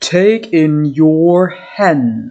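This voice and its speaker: A woman puts on a character voice. Her pitch sits fairly low. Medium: read story. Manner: calm, brief.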